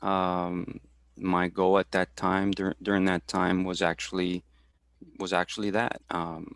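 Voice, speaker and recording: In a very clean recording with a silent background and a dry, close sound with no echo, a man with a very deep, low pitch speaks at a very slow pace in a monotone, flat intonation at a very even loudness. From Houston, Texas. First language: Spanish. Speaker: supervisor for veterans, career talk presenter. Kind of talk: career talk interview. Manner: halting, many fillers and repetitions.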